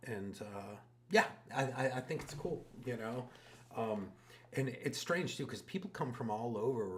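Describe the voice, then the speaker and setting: The man's voice sits at medium pitch and is somewhat breathy. It shows ordinary pitch variation. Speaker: tattoo artist. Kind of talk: casual chat.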